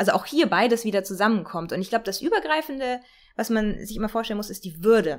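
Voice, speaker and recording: The delivery is very fast with an animated tone. Its intonation is lively. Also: woman, fairly high pitch for a woman. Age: 40s. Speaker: political scientist. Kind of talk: interview.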